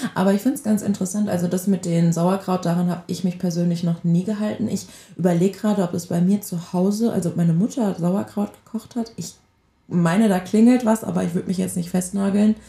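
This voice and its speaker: The voice is somewhat breathy and dark, mellow in tone, moving at a very fast pace. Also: woman, medium pitch for a woman, ordinary pitch variation. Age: 20s. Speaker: podcast co-host. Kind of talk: casual chat.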